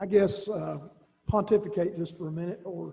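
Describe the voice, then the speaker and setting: Here a man speaks with a high pitch. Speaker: school director. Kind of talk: public board meeting remarks. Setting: school board meeting. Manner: hesitant, many fillers and repeats; fast.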